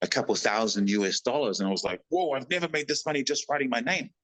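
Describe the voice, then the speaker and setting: Against a quiet background, a man talks at a very fast pace with lively intonation and an animated tone. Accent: New Zealand. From New Zealand. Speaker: actor and stuntman. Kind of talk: casual interview storytelling.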